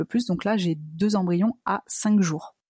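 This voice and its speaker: A woman's somewhat breathy voice has a dark, mellow tone and ordinary pitch variation. The recording is very clean, dry and close, with a silent background and no echo. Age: 30s. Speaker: entrepreneur sharing fertility journey. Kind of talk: interview testimony.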